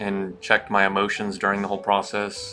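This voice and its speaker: A man speaks with music in the background. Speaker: stock day trader streamer. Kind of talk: live trading commentary. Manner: slow.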